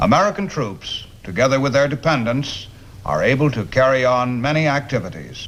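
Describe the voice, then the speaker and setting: A normal speaking voice, fairly quick in pace, with lively intonation. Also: man. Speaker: army sergeant presenter. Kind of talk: documentary introduction.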